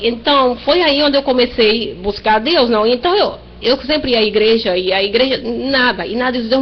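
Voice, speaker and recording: A woman at a moderate pace with lively intonation, over noticeable background noise. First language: Spanish (speaking Portuguese). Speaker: church member. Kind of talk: testimony. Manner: halting.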